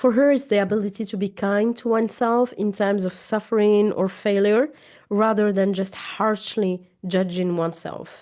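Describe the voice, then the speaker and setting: A woman talks at a medium pitch and moderate pace, her intonation fairly even. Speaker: trauma therapist and coach. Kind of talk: educational talk to camera. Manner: occasional halting and self-corrections.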